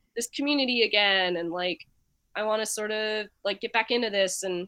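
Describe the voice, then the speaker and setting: A woman with an American accent speaks in a plain, everyday voice. Her pitch is fairly high with ordinary variation, and her pace is fairly quick. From Nashville, Tennessee, US South. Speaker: musician and visual artist. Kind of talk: casual interview.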